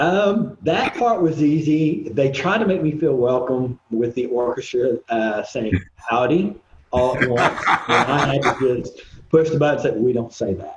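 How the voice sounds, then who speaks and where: Talking at a fairly slow pace in an Oklahoma accent, a man uses a fairly high pitch and lively intonation. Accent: Oklahoma accent, noticeable. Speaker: composer and recording artist. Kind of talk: casual interview chat. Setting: video podcast. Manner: halting, many fillers.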